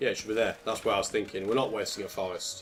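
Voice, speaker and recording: A man speaks with a British accent while music plays in the background. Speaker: gaming commentator. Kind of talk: let's play commentary. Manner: casual, conversational.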